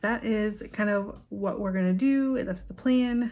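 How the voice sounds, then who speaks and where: A woman's somewhat breathy, dark, mellow voice with ordinary pitch variation, at a very slow pace. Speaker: small business owner and crafter vlogger. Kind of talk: casual vlog narration. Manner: casual, with frequent fillers.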